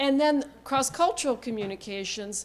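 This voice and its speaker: This woman keeps a moderate pace, and her pitch shifts in an ordinary way. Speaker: interpreter trainer. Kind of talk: workshop lecture. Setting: lecture hall with audience.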